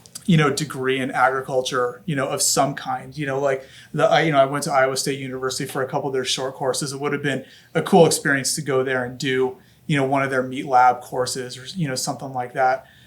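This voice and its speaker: At a very fast pace, a man with a Californian accent speaks at a medium pitch in a monotone, flat intonation. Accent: Californian American. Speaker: family sausage business owner. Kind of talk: podcast interview, casual chat. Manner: hesitant, many fillers.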